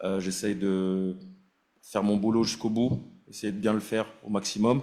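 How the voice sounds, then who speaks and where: With a dark, mellow tone and fairly low pitch, a man speaks at a fairly slow pace amid audible room echo. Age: 30s. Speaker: national team goalkeeper and captain. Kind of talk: press conference. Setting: press conference room. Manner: halting, many fillers and repetitions.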